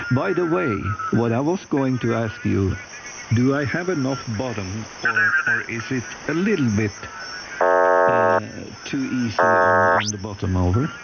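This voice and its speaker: With music in the background and audible room echo, a man at a medium pitch talks at a fairly slow pace, swinging very widely in pitch and leaving long, frequent pauses. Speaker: ham radio operator. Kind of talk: radio contact chat. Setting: amateur radio.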